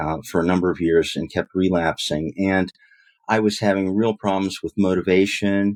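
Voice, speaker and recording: A fairly low-pitched man at a moderate pace, dry and close with no echo, on a very clean recording with a silent background. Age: 60s. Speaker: retired attorney in recovery. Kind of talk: interview testimony. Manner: halting, many fillers.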